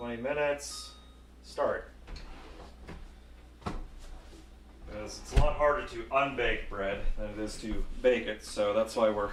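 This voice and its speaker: Audible room echo surrounds the recording. The speaker is a man. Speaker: VTuber cooking streamer. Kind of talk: live stream cooking chat. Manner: casual, self-narrating.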